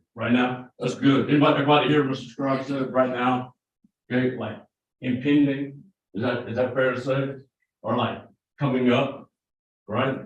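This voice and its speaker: A man speaks at a medium pitch with monotone, flat intonation and long, frequent pauses. Audible room echo is present. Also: moderate pace. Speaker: prosecutor. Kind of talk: jury selection questioning. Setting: courtroom. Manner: conversational.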